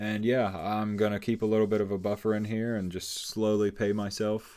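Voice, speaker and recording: A man's fairly low pitch at a fairly quick pace on a very clean recording with a silent background. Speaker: day trader. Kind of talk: trade recap tutorial. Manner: fast; casual.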